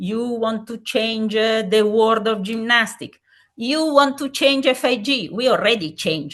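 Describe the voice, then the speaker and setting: A woman with an Italian accent talks at a fairly slow pace in a fairly high voice, her pitch varying in an ordinary way. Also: quiet background. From Italy. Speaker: safeguarding commission president, gymnastics expert. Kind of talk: webinar lecture. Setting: online webinar. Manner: halting, frequent fillers.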